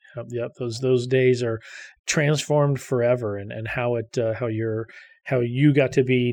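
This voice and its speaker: A man with an ordinary speaking voice talks at medium pitch with fairly even intonation against a quiet background. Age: 50s. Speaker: podcast host, data center executive. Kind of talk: interview.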